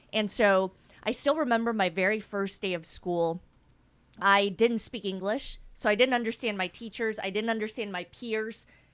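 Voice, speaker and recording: A woman with a Midwestern US accent speaks at a moderate pace, her fairly high voice rising and falling with ordinary pitch variation. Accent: US Midwest. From Wichita, Kansas (came from Guatemala at eight). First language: Spanish. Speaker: city mayor. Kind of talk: interview.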